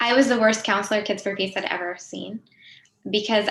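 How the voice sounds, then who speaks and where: Speaking at a fairly quick pace, a woman with an American accent keeps a medium pitch and a monotone, flat intonation. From US, Pennsylvania. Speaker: nonprofit executive, peacebuilder. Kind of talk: panel talk.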